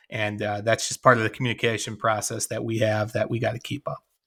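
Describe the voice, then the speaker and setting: In a Chicago accent, a man of medium pitch speaks at a fairly quick pace with a bright, sharp tone and monotone, flat intonation, on a very clean recording with a silent background. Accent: Chicago-area Midwestern. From US Midwest, west of Chicago. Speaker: former shop owner and business coach. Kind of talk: interview. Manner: halting.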